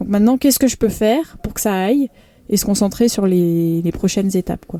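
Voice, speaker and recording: Delivery runs fairly quick. The intonation rises and falls in an ordinary way. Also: woman, medium pitch for a woman. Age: 30s. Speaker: professional triathlete. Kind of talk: interview. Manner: hesitant, many fillers.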